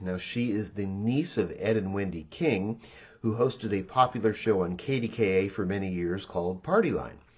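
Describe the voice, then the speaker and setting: A man with an unremarkable speaking voice talks at a moderate pace, fairly low in pitch, with ordinary pitch variation. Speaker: channel technical manager. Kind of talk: spoken introduction to archival recordings.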